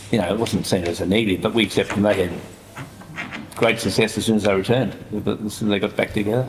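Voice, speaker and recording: Over noticeable background noise, a man with a fairly low pitch talks at a very fast pace in a monotone, flat intonation, with very even loudness and long, frequent pauses. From Australia. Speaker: author. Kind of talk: panel discussion.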